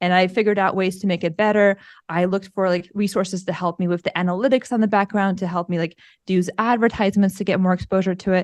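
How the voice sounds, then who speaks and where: A woman with an American accent, medium pitch, monotone flat intonation and a very fast pace. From Russia, moved to US as a child. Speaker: podcaster. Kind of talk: interview.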